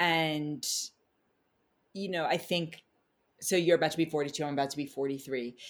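Very deep and low for a woman, her voice comes with an American accent, fairly even intonation and a moderate pace. Long pauses come often, and the recording is very clean with a silent background. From New York City (Manhattan). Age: 40s. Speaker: spiritual astrologer. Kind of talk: casual interview chat.

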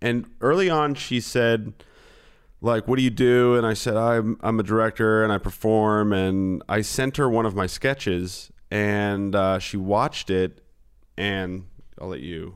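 The speaker uses a plain, everyday voice at a fairly slow pace. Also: man, fairly low pitch for a man, ordinary pitch variation. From New Jersey, then California from age ten. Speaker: filmmaker and comedian. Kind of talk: casual chat. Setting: video call.

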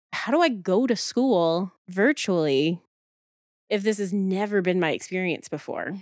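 This woman has an unremarkable speaking voice at a medium pitch, with ordinary pitch variation and a dry, close sound with no echo. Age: 30s. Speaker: therapist and podcast co-host. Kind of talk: casual chat.

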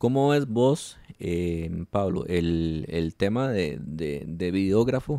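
With a Costa Rican accent, a man speaks in a very deep, low pitch and a dark, mellow tone, his intonation lively, the sound dry and close with no echo. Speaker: wedding photographer and podcast host. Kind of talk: casual interview chat. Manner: halting, many repetitions and fillers.

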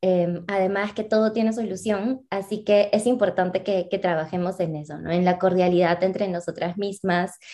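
A woman speaks at a moderate pace in a dark, mellow tone, with hardly any pauses and fairly even intonation. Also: medium pitch for a woman. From Peru. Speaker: social entrepreneur, co-founder. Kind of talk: interview.

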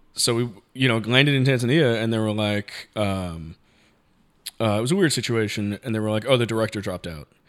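A man with an American accent has an unremarkable speaking voice, medium in pitch with ordinary variation, speaking at a fairly quick pace on a very clean recording with a silent background. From New York, the Bronx. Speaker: cinematographer. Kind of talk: casual chat.

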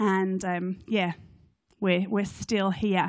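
Medium pitch, a woman's voice with a British accent, and a quiet background. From UK. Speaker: charity CEO. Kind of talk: church talk. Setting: stage with audience.

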